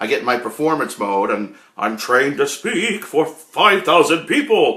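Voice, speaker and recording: With a bright, sharp tone, a man talks at a moderate pace. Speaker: live streamer reading chat. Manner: loud, passionate; trained projecting performance voice.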